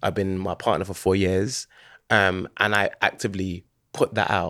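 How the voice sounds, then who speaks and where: Speaking in a London accent, a man keeps a moderate pace and a fairly low pitch. The very clean recording has a silent background and a dry, close sound with no echo. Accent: London Multicultural English. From London, Hackney. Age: 30s. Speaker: DJ and videographer. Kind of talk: casual chat.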